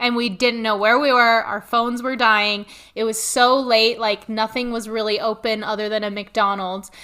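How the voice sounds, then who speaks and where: A woman with a General American accent speaks at a fairly high pitch in a monotone, flat intonation. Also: moderate pace. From US military family, raised in Korea, North Dakota, Germany. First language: Korean. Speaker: social media professional. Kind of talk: casual chat.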